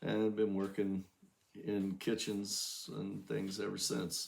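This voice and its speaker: A man with an American accent, fairly low in pitch, at a very slow pace. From southern Ohio. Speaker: chef, home cooking channel host. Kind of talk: cooking tutorial. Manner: halting, many fillers.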